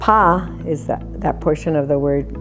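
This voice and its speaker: A woman speaks with music in the background. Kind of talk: interview answer.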